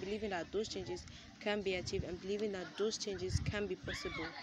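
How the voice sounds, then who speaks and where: Crowd noise carries in the background as a woman speaks, the sound dry with no echo. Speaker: vlogger. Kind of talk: casual vlog chat. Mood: calm, encouraging. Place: street. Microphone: phone near.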